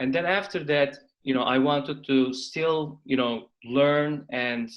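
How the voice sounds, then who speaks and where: A Turkish accent with fairly even intonation. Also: man. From Turkey. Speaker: venture capital investor, company founder. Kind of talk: interview.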